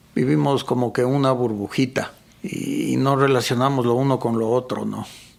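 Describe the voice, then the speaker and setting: Noticeable background noise sits under a man talking at a moderate pace, at a medium pitch with ordinary variation. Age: 60s. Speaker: photographer and mountain guide. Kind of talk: casual interview conversation.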